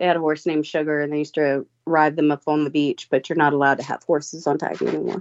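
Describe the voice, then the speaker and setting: Talking at a very fast pace with hardly any pauses, a woman keeps a very deep, low pitch in a monotone, flat delivery. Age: 30s. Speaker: paranormal tour company owner. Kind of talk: casual chat.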